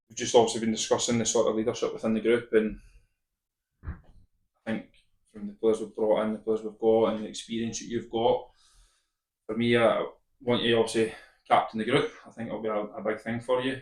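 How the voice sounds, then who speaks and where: A man with a Scottish accent, medium-pitched and monotone, at a fairly quick pace, with big swings in loudness and long, frequent pauses. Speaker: football manager. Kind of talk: casual chat.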